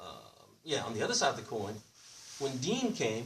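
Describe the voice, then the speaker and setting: Loud and animated, a man speaks at a fairly quick pace. His pitch swings very widely. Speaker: Islamic preacher. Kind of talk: sermon. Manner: animated, call-and-response questions.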